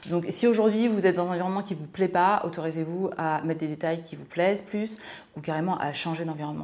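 Here a woman talks at a fairly quick pace, with a fairly low pitch and ordinary pitch variation. It is an ordinary speaking voice. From France, Seine-et-Marne (Martinican family). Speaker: lifestyle and money coach, podcast co-host. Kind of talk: casual chat.

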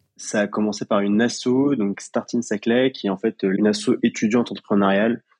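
A man speaks at a fairly quick pace with hardly any pauses, medium pitch, monotone, flat intonation and very even loudness, in a dry, close sound with no echo. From Paris region, France. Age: 20s. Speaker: young entrepreneur, pharmacy graduate. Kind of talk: interview testimony. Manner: hesitant, with frequent fillers.

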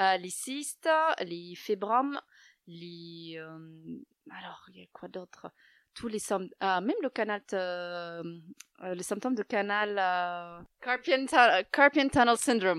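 In a very clean recording with a silent background and a dry, close sound with no echo, a woman at medium pitch speaks at a very slow pace with lively intonation, big swings in loudness, and long, frequent pauses. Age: young. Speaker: yoga teacher. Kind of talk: interview. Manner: soft-spoken.

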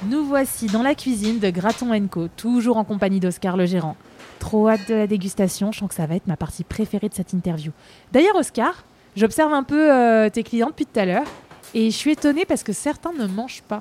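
A woman with a fairly high pitch and a dark, mellow tone speaks at a fairly quick pace. Her intonation is lively, and the sound is dry and close with no echo. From Paris, France. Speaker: podcast host. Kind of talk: casual interview. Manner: animated.

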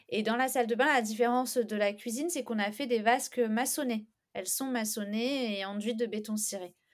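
A woman speaks at a fairly quick pace. Her voice is fairly high, with fairly even intonation. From southern France, Istres near Aix-en-Provence. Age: 30s. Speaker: home renovator. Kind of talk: casual interview. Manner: hesitant, many fillers.

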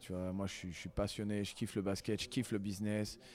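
Recorded very cleanly with a silent background, a man with a fairly low pitch uses a normal speaking voice at a fairly quick pace. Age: 30s. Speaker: basketball coach and sports centre founder. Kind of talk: casual interview.

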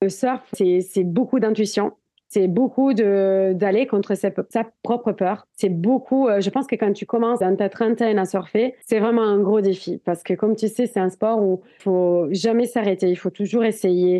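A woman's medium-pitched voice at a fairly slow pace, with very even loudness. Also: fairly even intonation. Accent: strong Italian. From Italy, Italian Alps. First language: Italian (speaking French). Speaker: adventurer and documentary filmmaker. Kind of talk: casual interview.

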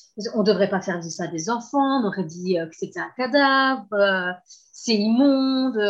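A woman's somewhat breathy, medium-pitched voice with lively intonation and a fairly slow pace. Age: 30s. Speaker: abuse survivor sharing her story. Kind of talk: testimony. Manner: halting.

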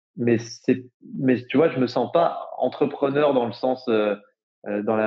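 Speaking in a plain, everyday voice, a man holds a medium pitch with ordinary pitch variation. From France, Jura. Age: 20s. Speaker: entrepreneur, climate startup co-founder. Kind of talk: casual interview. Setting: remote recording. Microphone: poor remote audio quality.

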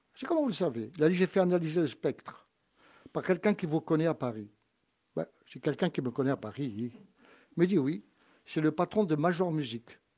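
A man with a dark, mellow tone and a fairly high pitch speaks at a fairly quick pace with lively intonation and long, frequent pauses, in a very clean recording with a silent background. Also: dry, close sound with no echo. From Corsica. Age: 70s. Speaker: musician. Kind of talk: casual chat.

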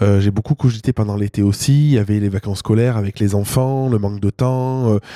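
At a fairly quick pace, a man of medium pitch talks in a dark, mellow tone. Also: dry, close sound with no echo. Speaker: solo podcast host and entrepreneur. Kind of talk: personal monologue to listeners. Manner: halting, many repeated words and fillers.

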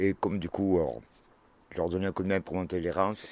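A man's very deep, low voice, fairly quick, with ordinary pitch variation and a dry, close sound with no echo. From Aurillac area, Cantal (France). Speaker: grape picker, former soldier. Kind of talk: casual storytelling. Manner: halting.

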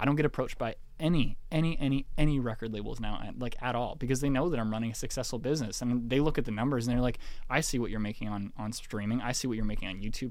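With a Canadian accent, a man talks at a very fast pace and medium pitch, and audible room echo surrounds his voice. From Canada, small-town Ontario. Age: 20s. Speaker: pop singer-songwriter. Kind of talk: casual interview conversation.

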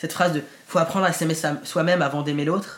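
A man is speaking at a moderate pace. His pitch sits fairly high. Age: 20s. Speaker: actor. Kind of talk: testimony. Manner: hesitant.

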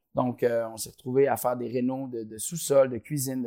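Speaking at a moderate pace, a man with a medium pitch has a dark, mellow tone and fairly even intonation. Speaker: company co-founder. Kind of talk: interview. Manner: halting, many repetitions and fillers.

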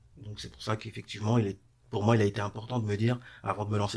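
A man speaks at a fairly low pitch with vocal fry. His intonation stays fairly even. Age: 30s. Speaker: renovation business owner. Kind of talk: interview. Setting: studio.

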